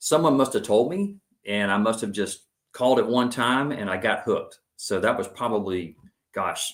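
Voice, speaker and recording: With an American accent, a man talks in a normal speaking voice with lively intonation. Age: 50s. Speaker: tech salesman and runner. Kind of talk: podcast interview.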